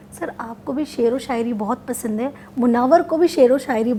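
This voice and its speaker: A woman's high-pitched voice with ordinary pitch variation over noticeable background noise. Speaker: interviewer.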